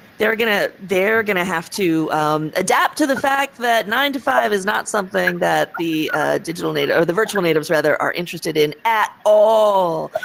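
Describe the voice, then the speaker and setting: With an American accent and lively intonation, the speaker keeps a moderate pace with hardly any pauses, over noticeable background noise. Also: woman, medium pitch for a woman. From United States. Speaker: tech industry speaker. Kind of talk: panel discussion. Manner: animated.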